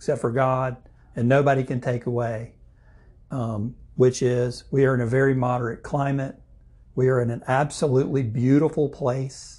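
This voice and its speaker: At a moderate pace, a man speaks at medium pitch with a dark, mellow tone and a somewhat breathy quality. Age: 50s. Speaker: insurance agent and chamber board chairman. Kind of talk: casual interview.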